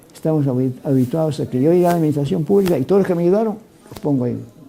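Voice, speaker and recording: Talking very fast, a man with a fairly high pitch and ordinary pitch variation is heard over noticeable background noise. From Peru. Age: 80s+. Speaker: former minister of education, university vice-rector. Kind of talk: TV interview.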